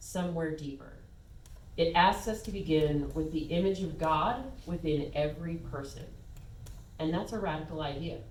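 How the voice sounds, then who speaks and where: The woman's very deep, low voice shows ordinary pitch variation and holds a moderate pace. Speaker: guest speaker, spiritual talk and meditation guide. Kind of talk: sermon / spiritual talk to congregation. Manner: warm, conversational, lightly humorous.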